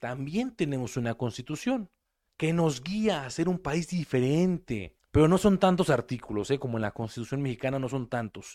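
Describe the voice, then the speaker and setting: A man speaks in an unremarkable speaking voice at a fairly slow pace. His intonation is lively. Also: very clean recording, silent background. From Mexico. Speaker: preacher. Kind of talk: sermon.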